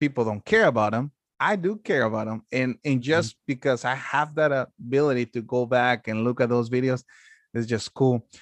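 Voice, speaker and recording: Talking at a moderate pace, a man uses medium pitch with ordinary pitch variation and big swings in loudness. The sound is dry and close, with no echo. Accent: Mexican. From Mexico. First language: Spanish. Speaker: wedding videographer. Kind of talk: casual chat.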